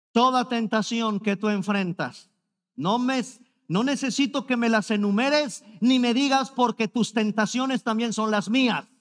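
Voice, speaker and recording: At a fairly slow pace, a man speaks with an extremely high pitch in an animated, dramatic tone, his loudness very even. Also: ordinary pitch variation, quiet background. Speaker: preacher. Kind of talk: sermon. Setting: church service streamed online. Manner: emphatic, pleading, repeating key words for effect; animated, mimicking objections with a dramatic sigh. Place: stage. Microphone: headset.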